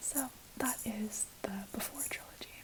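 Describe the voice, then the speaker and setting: A woman whispers over noticeable background noise. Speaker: ASMR creator. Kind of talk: casual whispered ramble to camera. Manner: soft-spoken, whispered.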